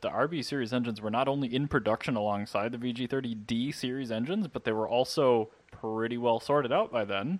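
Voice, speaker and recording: A normal speaking voice from a man, medium in pitch, at a fairly quick pace with hardly any pauses. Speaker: podcast host. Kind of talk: casual banter.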